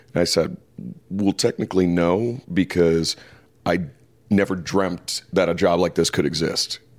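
Long, frequent pauses break up fairly even intonation in an American accent, with music in the background. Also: man, very deep, low pitch for a man, very even loudness. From Detroit, US Midwest. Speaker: wrestling commentator. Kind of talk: interview conversation. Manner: halting, many fillers.

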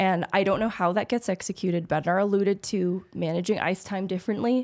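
This woman has an ordinary speaking voice at medium pitch with fairly even intonation. The recording is very clean, with a silent background. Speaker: hockey podcast co-host. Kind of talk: casual chat. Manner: articulate, analytical.

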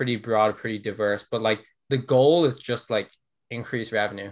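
The speaker talks at a fairly quick pace with an Irish accent. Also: man. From Ireland. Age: 20s. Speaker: growth marketer. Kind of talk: casual interview.

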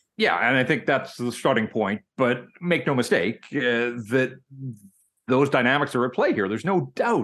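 Lively intonation marks this voice with a Western Canadian accent, heard over a quiet background. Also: man, medium pitch for a man, moderate pace. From Vancouver, Canada. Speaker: hockey journalist. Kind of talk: casual interview.

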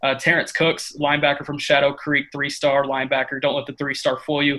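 A man with a Texan accent, a fairly high pitch and a bright, sharp tone at a moderate pace. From East Texas (Tyler). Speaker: college football recruiting analyst. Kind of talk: interview.

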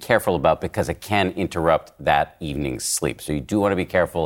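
This man's voice has lively intonation and vocal fry. The recording is very clean, with a silent background. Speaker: podcast host and journalist. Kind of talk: panel discussion.

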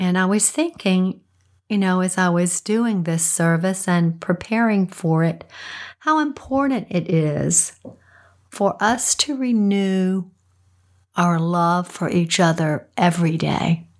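In a very clean recording with a silent background, a woman with a raspy, fairly low voice speaks slowly with ordinary pitch variation.

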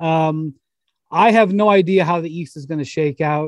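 A man speaks in a plain, everyday voice at a moderate pace, his pitch fairly high for a man. The sound is dry and close with no echo, and his pitch varies in an ordinary way. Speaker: NBA podcast host. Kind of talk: casual sports chat. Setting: studio, pre-recorded.

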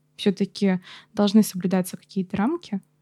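On a very clean recording with a silent background and a dry, close sound with no echo, a woman of medium pitch talks fairly quickly in a dark, mellow, somewhat breathy tone. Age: 20s. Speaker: paramedic student. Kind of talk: casual chat.

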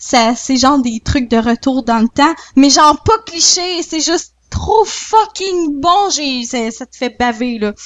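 A woman's high-pitched, very slow speech with hardly any pauses, very wide pitch swings and big swings in loudness. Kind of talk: casual chat.

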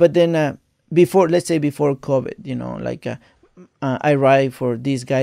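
A man with a Mexican accent talks at a fairly quick pace. His pitch is fairly high with ordinary variation, and his tone is dark and mellow. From Mexico, Veracruz. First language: Spanish. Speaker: jockey. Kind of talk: casual chat.

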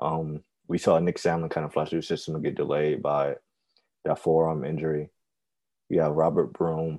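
Speaking at a moderate pace with long, frequent pauses, a man has a very deep, low pitch and monotone, flat intonation. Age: 20s. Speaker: baseball writer. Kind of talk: casual chat. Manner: halting.

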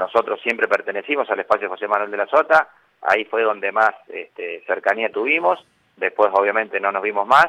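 A man talking at a fairly quick pace, with a dry, close sound and no echo. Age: 50s. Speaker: politician, mayor-elect and physician. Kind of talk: radio interview.

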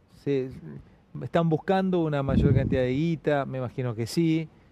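A man at medium pitch and moderate pace, with ordinary pitch variation and noticeable background noise. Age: 40s. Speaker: comedian and interviewer. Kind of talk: casual interview.

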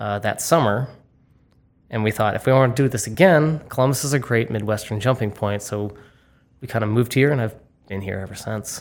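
A man with an American accent talks at medium pitch with ordinary pitch variation. His pace is fairly quick, broken by long, frequent pauses. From Massachusetts, Boston suburbs. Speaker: bar manager. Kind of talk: interview. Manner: halting, many fillers.

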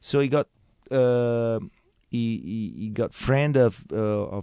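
With an Italian accent, a man talks at a medium pitch in a dark, mellow tone with fairly even intonation, the sound dry and close with no echo and the background quiet. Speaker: winemaker, winery family member. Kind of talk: interview. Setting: radio studio. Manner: halting, repeats words.

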